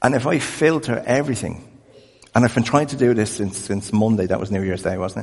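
Fairly quick speech with an Irish accent, big swings in loudness and ordinary pitch variation. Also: man, medium pitch for a man. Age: 50s. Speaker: pastor. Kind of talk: sermon.

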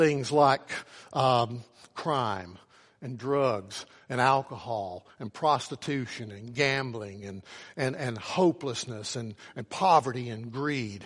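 A man with an Appalachian accent and a medium pitch speaks at a very slow pace, with ordinary pitch variation and big swings in loudness over a quiet background. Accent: Appalachian Southern US. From US South, southwestern Virginia. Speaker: pastor. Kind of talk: sermon. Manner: halting, many fillers and repeats.

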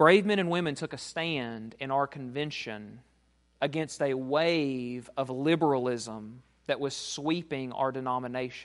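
A plain, everyday voice goes fairly slowly, its pitch varying in an ordinary way. Behind it, the background stays quiet. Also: man, medium pitch for a man. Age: 30s. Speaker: pastor. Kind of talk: sermon.

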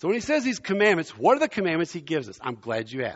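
Talking at a very fast pace, a man uses a high pitch with very wide pitch swings. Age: 60s. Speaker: visiting pastor. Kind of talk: sermon. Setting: church. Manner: animated.

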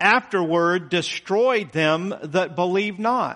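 A man's high-pitched, bright and sharp voice at a very slow pace, with ordinary pitch variation. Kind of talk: sermon. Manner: earnest, plain-spoken, conversational preaching that builds to urgent, pointed appeals.

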